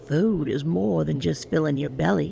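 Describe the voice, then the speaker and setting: A put-on character voice at a low-to-middle pitch swings very widely in pitch at a moderate pace. Background noise is clear. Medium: read story. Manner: quiet, measured.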